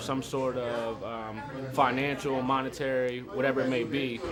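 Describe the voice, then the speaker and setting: A man at a moderate pace and medium pitch, fairly even intonation, audible room echo, and music in the background. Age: 20s. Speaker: interviewee, aspiring artist. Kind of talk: interview. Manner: hesitant, many fillers.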